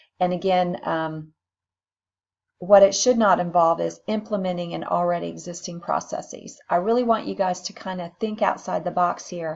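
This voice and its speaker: Speaking at a moderate pace with fairly even intonation, a woman has a plain, everyday voice, fairly low in pitch, with big swings in loudness. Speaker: nursing instructor. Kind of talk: recorded lecture.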